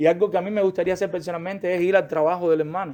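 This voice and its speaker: In a Cuban accent, a man speaks at a high pitch with fairly even intonation. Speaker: pastor. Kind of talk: sermon-style Bible class lecture. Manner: fast.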